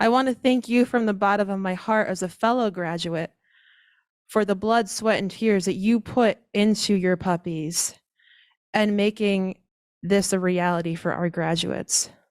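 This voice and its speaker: Soft-spoken, a woman talks at a fairly slow pace and medium pitch, with fairly even intonation. The recording is very clean, with a silent background. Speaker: guide dog school outreach manager. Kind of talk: ceremony speech. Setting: graduation ceremony with audience.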